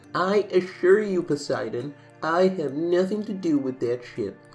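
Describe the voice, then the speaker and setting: A man's put-on character voice, high in pitch, at a moderate pace, with faint music in the background. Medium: read story. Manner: firm, composed.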